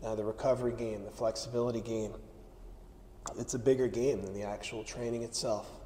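Over light background noise, a man talks at a moderate pace in a dark, mellow tone with monotone, flat intonation. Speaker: strength coach. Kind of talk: instructional talk. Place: gym. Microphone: lapel.

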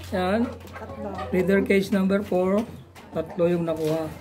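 A high-pitched male voice over noticeable background noise. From Philippines. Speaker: backyard poultry farmer and vlogger. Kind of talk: casual vlog walkthrough; casual vlog chat. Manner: halting, many fillers. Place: farm. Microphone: phone near.

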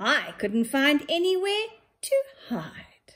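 A woman's put-on character voice, high in pitch, at a very slow pace. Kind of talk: nursery story reading. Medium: read story. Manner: friendly, playful. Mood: cheerful.

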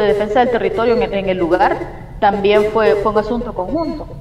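A woman speaks at a moderate pace with a fairly high pitch and ordinary pitch variation. Audible room echo and light background noise are present. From El Salvador. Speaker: community environmental activist. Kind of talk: interview testimony. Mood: calm, earnest. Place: home room. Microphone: video call.

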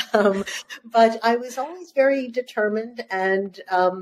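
A woman's fairly high voice over light background noise. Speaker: journalist and author. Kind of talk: interview conversation. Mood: warm, smiling. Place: home room.

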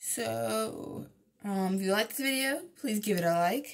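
A woman talks at a moderate pace against a quiet background. Her voice is somewhat breathy. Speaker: vlogger. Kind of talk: casual vlog chat. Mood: frustrated, venting about work. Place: home room. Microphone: phone near.

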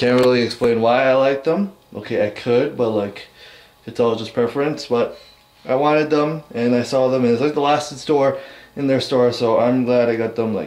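Fairly even intonation carries a man's speech along at a moderate pace. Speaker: vlogger. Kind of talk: casual vlog chat. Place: home room.

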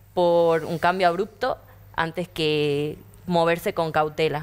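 A woman speaks in a fairly low pitch. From Argentina, Tucumán; Argentina. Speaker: young panelist; panelist. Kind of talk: panel discussion. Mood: earnest, thoughtful. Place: studio. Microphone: lapel.

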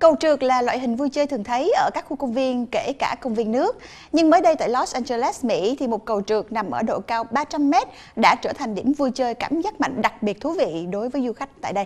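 At a fast pace and a fairly high pitch, a woman speaks with lively intonation and a slightly mellow tone.

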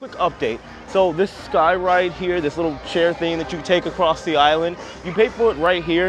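Clear music plays in the background. The speech is fairly quick and the sound dry with no echo. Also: man. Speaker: travel vlogger. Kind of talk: casual vlog chat. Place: street. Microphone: lapel.

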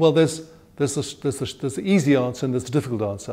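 The man's tone is dark and mellow. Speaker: interviewee. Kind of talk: interview answer. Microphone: lapel.

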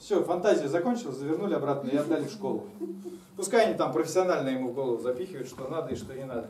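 The speech is very fast with lively intonation. There is audible room echo and light background noise. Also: man. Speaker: comedian storyteller. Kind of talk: stand-up comedy monologue. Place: stage. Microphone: camera far.

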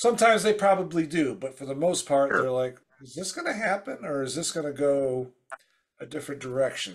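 Talking at a fairly quick pace, a man uses lively intonation and big swings in loudness. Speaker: podcast host. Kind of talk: casual chat. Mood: friendly, admiring. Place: home room.

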